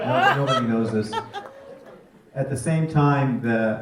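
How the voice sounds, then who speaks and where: A man speaks at a fairly slow pace. Room echo is audible, and background noise is noticeable. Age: 60s. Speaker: film subject and husband of actor. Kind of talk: Q&A panel.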